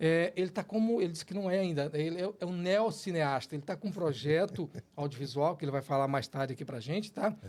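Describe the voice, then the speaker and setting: A man speaks at a fairly quick pace with hardly any pauses. His pitch is high, with ordinary pitch variation. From Brazil, Ceará, raised in Gurupi (Tocantins). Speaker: podcast host. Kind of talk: podcast interview.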